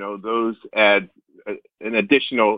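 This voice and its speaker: A man with an American accent at a moderate pace, a plain, everyday voice. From US South, North Carolina. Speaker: orchestra conductor. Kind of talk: interview. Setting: phone call.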